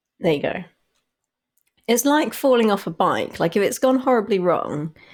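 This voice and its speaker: Her pitch fairly high and swinging very widely, a woman with an English accent talks at a moderate pace with very even loudness. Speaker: podcast co-host. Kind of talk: casual chat.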